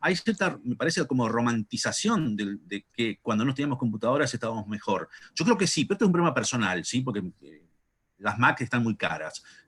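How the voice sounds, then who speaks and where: A man speaks in a Rioplatense accent at a fairly quick pace with medium pitch and lively intonation. The sound is dry and close, with no echo. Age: 50s. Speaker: philosopher. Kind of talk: panel discussion. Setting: video call.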